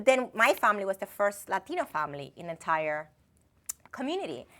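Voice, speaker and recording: A woman with a Dominican accent, very fast, bright and sharp in tone, at medium pitch, with very wide pitch swings and big swings in loudness. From Dominican Republic. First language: Spanish. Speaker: finance executive. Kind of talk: interview. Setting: TV studio. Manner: halting.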